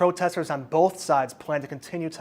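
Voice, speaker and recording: A man speaks fairly quickly and at a fairly high pitch in a plain, everyday voice, with ordinary pitch variation. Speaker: broadcast journalism student and reporter. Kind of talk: live field reporter stand-up and voiceover.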